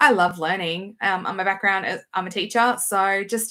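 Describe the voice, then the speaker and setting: A woman with an Australian accent, medium pitch and a bright, sharp tone, talking at a very fast pace, in a very clean recording with a silent background. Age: 40s. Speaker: knitting vlogger and teacher. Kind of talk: casual vlog chat.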